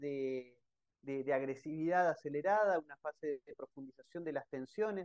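The recording has a dry, close sound with no echo as a man speaks at a moderate pace in an unremarkable speaking voice with ordinary pitch variation. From Argentina. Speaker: researcher and analyst. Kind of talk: interview.

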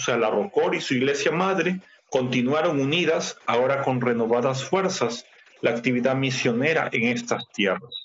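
A man with a normal speaking voice talks at a moderate pace and medium pitch, with ordinary pitch variation and very even loudness. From Ecuador. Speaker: church missionary. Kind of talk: interview. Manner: formal.

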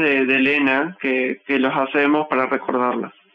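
A man talks at a fairly slow pace. Noticeable noise sits in the background. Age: 20s. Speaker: folk dancer. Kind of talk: interview testimony.

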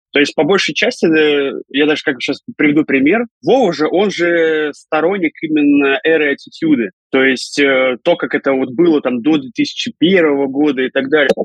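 A man with a normal speaking voice talks at a moderate pace and a fairly high pitch, with ordinary pitch variation and very even loudness. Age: 30s. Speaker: professional wrestler and commentator. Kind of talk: casual interview.

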